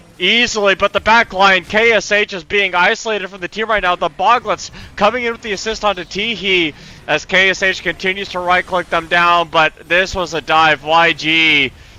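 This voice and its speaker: Raising and projecting his voice, a man speaks in a high pitch. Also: moderate pace, dry, close sound with no echo. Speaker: esports caster. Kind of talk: live commentary. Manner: animated.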